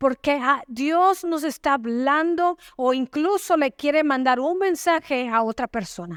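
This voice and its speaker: A woman speaks in a high pitch with lively intonation, at a fairly slow pace with hardly any pauses. The sound is dry and close, with no echo. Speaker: pastor, church preacher. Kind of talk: sermon preached to a congregation.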